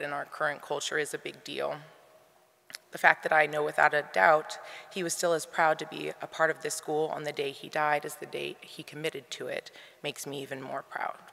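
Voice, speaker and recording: A woman speaks with an American accent in a very deep, low pitch and a monotone, flat delivery, her loudness swinging widely over noticeable background noise. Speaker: grandchild giving eulogy. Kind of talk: eulogy. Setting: memorial service in arena.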